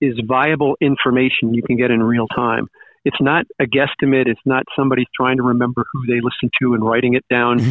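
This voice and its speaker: A man with an American accent uses an ordinary speaking voice at a medium pitch, talking fairly quickly with fairly even intonation and very even loudness. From Long Island, New York. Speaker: radio DJ. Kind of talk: casual interview chat.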